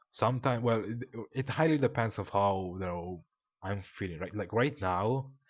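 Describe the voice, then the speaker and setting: With lively intonation, a man talks in a non-native accent. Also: moderate pace. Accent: non-native accent, noticeable. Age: 20s. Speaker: streamer. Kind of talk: personal confession stream. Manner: halting, long pauses.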